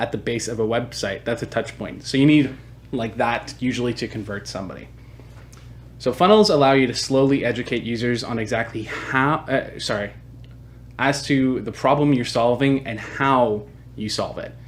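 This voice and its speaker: A plain, everyday voice from a man at medium pitch, with fairly even intonation and a moderate pace. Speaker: marketing agency founder. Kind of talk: webinar presentation. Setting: online webinar.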